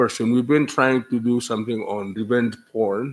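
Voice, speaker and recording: Flat, monotone delivery at a moderate pace in a Micronesian accent. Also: man. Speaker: legislator. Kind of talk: public hearing testimony. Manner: halting.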